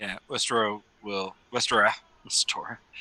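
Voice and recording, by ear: The clip is reading aloud in a natural voice. Its intonation is fairly even.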